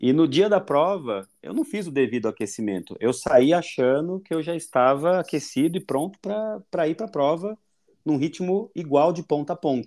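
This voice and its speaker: With a dark, mellow tone and lively intonation, a man speaks at a fairly high pitch and a moderate pace. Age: 30s. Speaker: nurse and amateur marathon runner. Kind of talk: casual chat.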